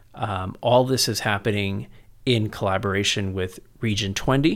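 With an American accent, a man talks in a plain, everyday voice at fairly low pitch and a moderate pace, his intonation fairly even, on a very clean recording with a silent background. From San Antonio, Texas. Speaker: education policy researcher, former politician. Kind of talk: interview conversation.

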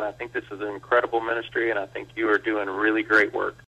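The speaker is a man. He has an American accent. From Texas, Blanco. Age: 40s. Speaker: pastor. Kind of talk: interview. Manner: halting, many fillers and repeats.

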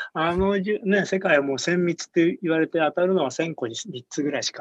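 Speaking at a very fast pace, a man with a high pitch comes through in a dry, close sound with no echo. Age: 60s. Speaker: beer product developer and brewery founder. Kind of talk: casual interview.

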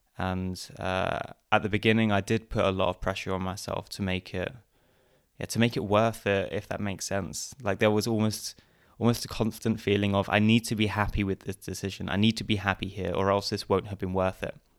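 A man with an Essex accent speaks at a fairly low pitch and a fairly quick pace. His intonation is monotone and flat, on a very clean recording with a silent background. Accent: southern English (Essex). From England, Essex. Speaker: podcaster. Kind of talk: interview.

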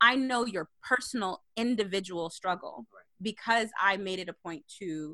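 A woman speaks at medium pitch and a fairly slow pace, her tone bright and sharp, in a dry, close recording with no echo. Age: 30s. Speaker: podcast host and blog editor. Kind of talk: casual chat.

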